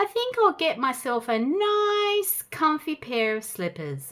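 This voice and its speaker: In a squeaky, put-on character voice, the speaker moves at a fairly slow pace with very wide pitch swings. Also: woman, high pitch for a woman. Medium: read story. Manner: grumbling.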